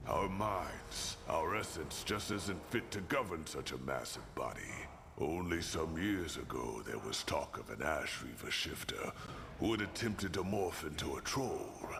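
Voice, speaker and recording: Amid loud background noise, a man puts on a character voice with a very deep, low pitch, speaking at a moderate pace. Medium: video game. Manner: blunt, dry.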